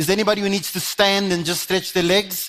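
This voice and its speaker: Music plays behind a man who talks at a very fast pace. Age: 60s. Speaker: conference speaker, development consultant. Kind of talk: conference keynote talk. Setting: stage with audience. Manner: animated.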